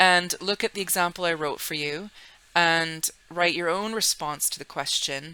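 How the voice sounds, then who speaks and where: At a moderate pace, a woman with a bright, sharp tone and fairly low pitch speaks with fairly even intonation. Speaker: secondary school English teacher. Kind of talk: recorded online lesson. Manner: casual, conversational.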